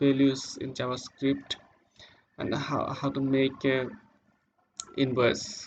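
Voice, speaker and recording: In a non-native accent, a man talks at a very slow pace with a medium pitch and monotone, flat intonation. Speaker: web developer. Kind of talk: tutorial. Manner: halting.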